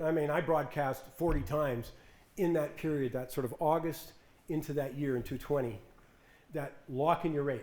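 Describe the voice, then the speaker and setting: A man talks at a fairly quick pace with a fairly high pitch. Room echo is audible. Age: 70s. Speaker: financial commentator. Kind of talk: talk with audience Q&A. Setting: stage with audience. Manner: animated.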